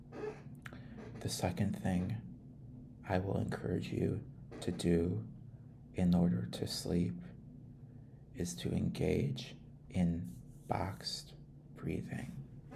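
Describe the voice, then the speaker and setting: A soft-spoken, calm whisper at a very slow pace, with long, frequent pauses and noticeable background noise. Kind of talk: ASMR trip-sitter role-play guiding relaxation and sleep. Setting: close mono microphone recording. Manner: soft-spoken, calm, with some whispering.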